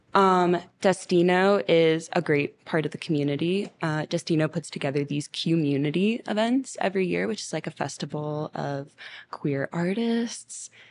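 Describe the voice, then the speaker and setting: A plain, everyday voice with an American accent and ordinary pitch variation, over a quiet background. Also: woman, fairly low pitch for a woman, moderate pace. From Miami, Florida. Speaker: singer-songwriter and producer. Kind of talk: casual interview.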